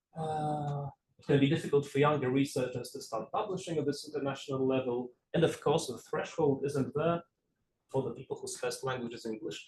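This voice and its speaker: A somewhat breathy man with a Polish accent, talking at a fairly quick pace with fairly even intonation. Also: fairly high pitch for a man, big swings in loudness. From Poland. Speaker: game studies researcher. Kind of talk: lecture. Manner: halting.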